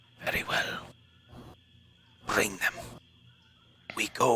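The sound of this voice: A man whispering in a raspy put-on character voice.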